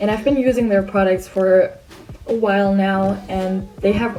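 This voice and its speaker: A woman talks at a moderate pace and medium pitch with a non-native accent and fairly even intonation. Music plays in the background. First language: not English. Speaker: art channel creator. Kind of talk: voiceover tutorial.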